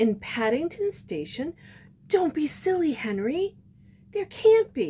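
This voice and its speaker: A put-on character voice, female-sounding and high in pitch, with very wide pitch swings and a fairly slow pace. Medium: read story.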